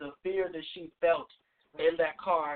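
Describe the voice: A man's fairly high-pitched, fairly slow delivery, with a dry, close sound and no echo.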